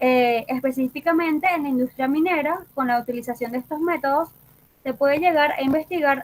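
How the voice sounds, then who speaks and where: A woman with a high pitch talks fairly quickly, using ordinary pitch variation. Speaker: geophysicist lecturer. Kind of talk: lecture. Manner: fast.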